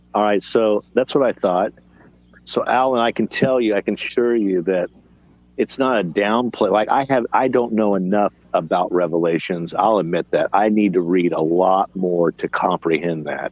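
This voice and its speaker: A man speaks at a moderate pace with a fairly low pitch. His loudness stays very even, and his pitch varies in an ordinary way. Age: 50s. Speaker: bible study participant. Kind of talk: casual chat. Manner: halting.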